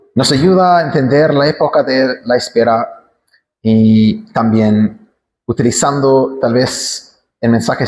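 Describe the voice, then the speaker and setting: With an English accent, a man speaks at a very slow pace and medium pitch. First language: English (speaking Spanish). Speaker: pastor. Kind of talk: sermon.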